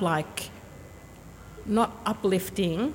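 A woman speaks very slowly in an Australian accent. Her intonation stays fairly even. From Sydney, Australia. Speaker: university HR manager. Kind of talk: casual interview. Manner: halting.

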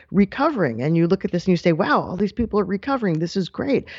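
Here a woman talks with an American accent. Her pitch makes very wide swings. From New York. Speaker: news correspondent. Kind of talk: radio interview.

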